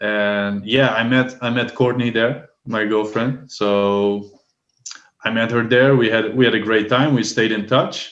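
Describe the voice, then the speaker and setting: The speaker has a Dutch accent and a fairly slow pace. The intonation is monotone and flat. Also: man, medium pitch for a man. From Netherlands. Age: 30s. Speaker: language assistant. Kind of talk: casual chat.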